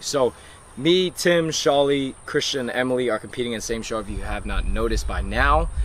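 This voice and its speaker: With ordinary pitch variation and a moderate pace, a man speaks over noticeable background noise. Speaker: fitness vlogger. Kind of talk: casual vlog and chat.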